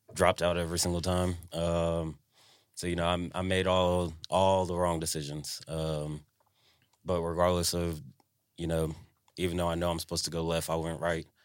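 In a Southern US accent, the speaker talks at a moderate pace with monotone, flat intonation on a very clean recording with a silent background. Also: man, very deep, low pitch for a man. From Tennessee (Franklin). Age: 20s. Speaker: podcast co-host. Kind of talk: casual chat.

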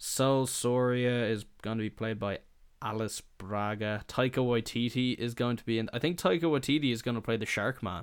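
On a very clean recording with a silent background, a man with an Irish accent speaks at a moderate pace and medium pitch with ordinary pitch variation. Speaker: podcast host. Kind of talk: casual chat. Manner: casual, swears often.

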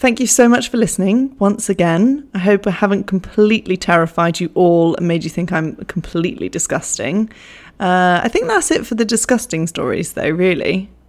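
A woman's medium-pitched, animated voice at a moderate pace, with ordinary pitch variation, on a very clean recording with a silent background. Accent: English. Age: 20s. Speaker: podcast host. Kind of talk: casual storytelling monologue. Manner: animated, laughing often.

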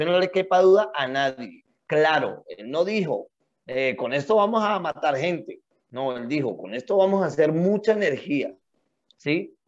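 Lively intonation marks this man's fairly high-pitched, unremarkable speaking voice. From Colombia. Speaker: podcast co-host. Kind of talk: casual chat.

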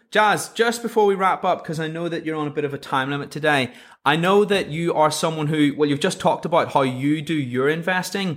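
An ordinary speaking voice moves at a fairly quick pace with hardly any pauses and ordinary pitch variation, on a very clean recording with a silent background. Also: man, fairly high pitch for a man. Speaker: podcast host. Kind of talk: casual interview chat. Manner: chatty, informal.

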